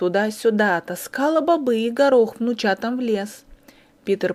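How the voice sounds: The reading voice here sounds natural.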